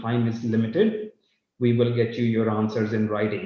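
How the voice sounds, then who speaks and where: This is a man speaking at a medium pitch. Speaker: company CEO. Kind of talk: live company update. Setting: live online session.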